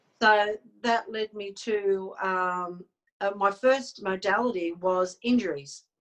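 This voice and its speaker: A woman speaks very slowly in an Australian accent. Her pitch varies in an ordinary way. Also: medium pitch for a woman. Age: 60s. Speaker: psychic medium and healer. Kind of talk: interview. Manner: halting.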